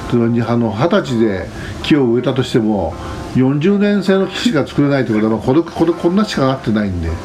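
There is noticeable background noise as a man talks at a moderate pace. His medium pitch swings very widely. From Japan, Shizuoka (Fujinomiya, foot of Mt Fuji). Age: 60s. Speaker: forester and campsite owner. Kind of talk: casual interview.

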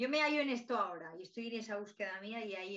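A woman's voice is heard. It has a bright, sharp tone. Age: 30s. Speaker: podcast host, holistic artist. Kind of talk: casual interview chat.

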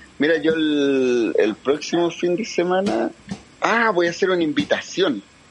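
Lively intonation at a fairly slow pace, with very even loudness throughout. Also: man, high pitch for a man. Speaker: caller. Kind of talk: casual chat.

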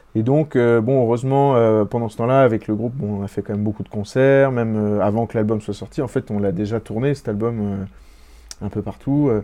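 The intonation stays fairly even. Delivery proceeds at a moderate speed. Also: man, medium pitch for a man. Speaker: singer. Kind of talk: interview.

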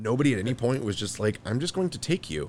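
A man talks at a very fast pace with lively intonation. His voice has vocal fry. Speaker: podcast host. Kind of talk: casual comedic chat.

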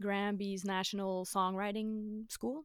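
A woman with a French accent, on a very clean recording with a silent background. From Quebec, West Island of Montreal (Dorval). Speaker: singer-songwriter. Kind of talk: casual interview.

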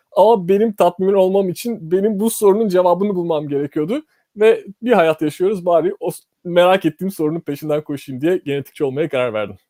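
The man's pitch is high, yet his tone is dark and mellow, with lively intonation at a fairly quick pace. The sound is dry and close, with no echo. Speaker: molecular biologist. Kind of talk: interview.

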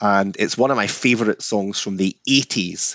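A man with a Scottish accent and fairly low pitch, in a dry, close sound with no echo and a quiet background. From Scotland. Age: 60s. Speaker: whisky distiller. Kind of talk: casual interview chat.

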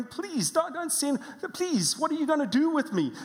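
A whiny, put-on character voice moves at a moderate pace over light background noise. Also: woman, high pitch for a woman. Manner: whining, whimpering, begging.

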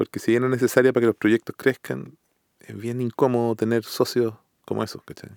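A man with a Chilean accent talks at a fairly quick pace in a medium pitch with monotone, flat intonation. His loudness swings a lot, and the sound is dry and close with no echo. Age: 40s. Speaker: music composer and producer. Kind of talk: casual interview conversation.

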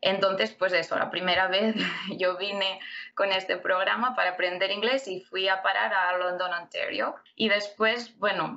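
Her pace is fairly slow and her pitch sits in the medium range. This woman uses a normal speaking voice. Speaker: immigrant and MBA student. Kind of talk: interview.

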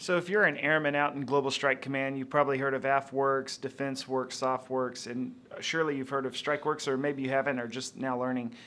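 A man's bright, sharp voice at medium pitch, fairly quick and flat in a monotone, with hardly any pauses. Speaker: co-host, interviewer. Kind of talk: podcast interview.

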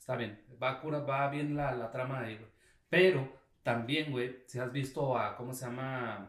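Over big swings in loudness and audible room echo, a man with a Mexican accent talks at a fairly slow pace in a medium pitch with fairly even intonation. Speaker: podcast co-host. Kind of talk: casual chat.

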